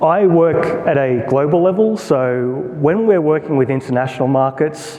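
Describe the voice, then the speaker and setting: A man with an Australian accent talks at a moderate pace, fairly high for a man, with ordinary pitch variation. His loudness stays very even over noticeable background noise. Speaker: product marketer. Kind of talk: conference talk. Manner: conversational, informal.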